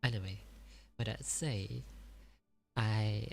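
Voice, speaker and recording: Whispering and soft-spoken, a man talks at a very slow pace in a very clean recording with a silent background. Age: 20s. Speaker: livestreamer. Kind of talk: ASMR storytelling livestream. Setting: livestream at home. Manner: soft whispering; halting, self-correcting.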